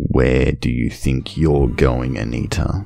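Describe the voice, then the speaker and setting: Very deep, low pitch in a man's put-on character voice, delivered at a fairly slow pace. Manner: apathetic, cold.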